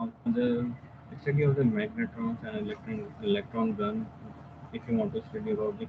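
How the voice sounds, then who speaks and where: A quiet voice at a moderate pace with very wide pitch swings, over noticeable background noise. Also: man, medium pitch for a man. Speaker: software application engineer giving a tutorial; webinar presenter. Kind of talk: technical webinar tutorial. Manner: hesitant, many fillers. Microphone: video call.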